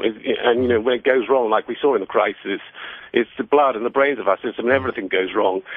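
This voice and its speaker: With a British accent, a man speaks at a very fast pace. His pitch is medium and varies in an ordinary way. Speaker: finance author. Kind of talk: radio interview. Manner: halting, many repetitions.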